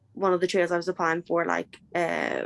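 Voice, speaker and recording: A woman talks at a moderate pace in a fairly low pitch with monotone, flat intonation. The sound is dry and close, with no echo. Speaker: artist applicant. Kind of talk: question in an online info session. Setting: video call. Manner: hesitant.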